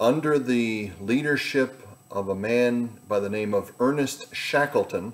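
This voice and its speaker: The pace is very slow. Pitch moves in an ordinary way. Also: man. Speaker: pastor giving devotion. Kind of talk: devotional talk. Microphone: webcam.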